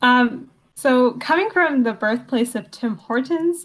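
Her voice sits high in pitch, and this woman talks with lively intonation. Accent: Canadian. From Canada, Hamilton, Ontario. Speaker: law student. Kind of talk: interview.

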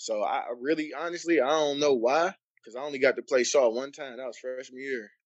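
With an American accent, a man speaks in a plain, everyday voice at a fairly quick pace and a fairly high pitch. His intonation is fairly even, with big swings in loudness. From Cleveland, Ohio. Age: 30s. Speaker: basketball coach and former player. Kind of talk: casual chat.

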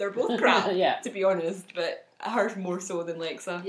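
Speaking at a fairly slow pace with a slight Scottish accent, a woman uses a medium pitch and fairly even intonation over noticeable background noise. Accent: mild Scottish. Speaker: podcast co-host.

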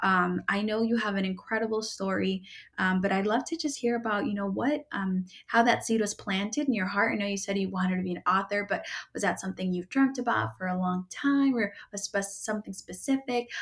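This woman's voice is somewhat breathy. She speaks at a fairly quick pace. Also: medium pitch for a woman, ordinary pitch variation. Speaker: podcast host. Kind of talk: interview, podcast host conversation.

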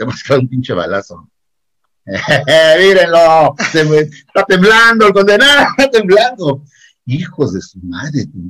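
Taking a fairly slow pace, a man lets his pitch swing very widely. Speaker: secondary school teacher. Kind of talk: casual chat. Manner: animated.

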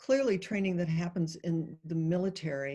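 A woman with an American accent speaks at a fairly slow pace in a fairly low pitch with ordinary pitch variation, an ordinary speaking voice. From US Midwest, Ohio. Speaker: Zen priest and teacher. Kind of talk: interview.

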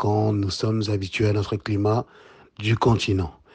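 A man's fairly low, somewhat breathy voice, monotone and flat, at a fairly slow pace. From DR Congo, Kinshasa. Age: 30s. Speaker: entrepreneur and Pan-African activist. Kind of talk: podcast interview.

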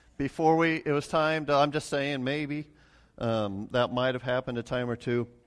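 Fairly even intonation in a very clean recording with a silent background. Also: man. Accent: American. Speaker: pastor. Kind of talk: sermon. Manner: halting.

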